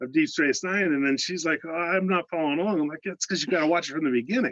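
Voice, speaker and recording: A high-pitched man with an American accent talks with ordinary pitch variation, recorded dry and close with no echo. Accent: slight Pittsburgh (Yinzer) accent at times. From Pittsburgh, Pennsylvania. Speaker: fan on a video call, call center analyst. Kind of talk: casual chat. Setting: video call.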